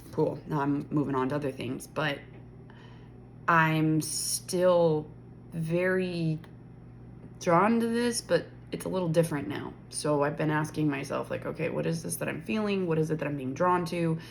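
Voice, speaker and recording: In a room with audible echo, a woman speaks at a moderate pace with a very deep, low pitch and ordinary pitch variation. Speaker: spiritual content creator. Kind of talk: casual vlog monologue. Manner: slurred, stumbling.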